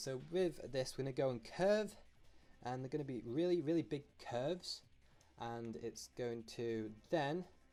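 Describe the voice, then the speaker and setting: With music playing behind him, a man speaks at a moderate pace with lively intonation. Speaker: drawing tutorial youtuber. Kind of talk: drawing tutorial. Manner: hesitant, many fillers.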